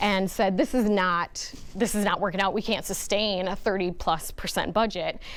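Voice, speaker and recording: On a very clean recording with a silent background, a woman in a normal speaking voice talks at a moderate pace, her medium pitch showing ordinary variation. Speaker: marketing presenter. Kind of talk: business presentation.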